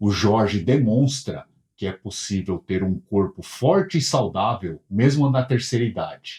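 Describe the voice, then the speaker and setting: Somewhat breathy and dark, mellow in tone, a man with a fairly low pitch speaks at a fairly slow pace with lively intonation. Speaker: interviewer, channel host. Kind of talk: show intro to camera. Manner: upbeat.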